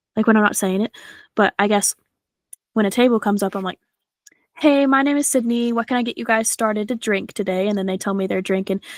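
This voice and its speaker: Her tone animated and her pitch fairly high, a woman talks at a fairly quick pace with ordinary pitch variation, the sound dry and close with no echo. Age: 20s. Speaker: podcast host and server. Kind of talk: casual chat. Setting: podcast recording with co-hosts.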